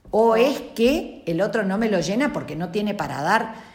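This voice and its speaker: Heard with audible room echo, a woman speaks at a medium pitch with lively intonation. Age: 50s. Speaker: relationship expert. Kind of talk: casual chat.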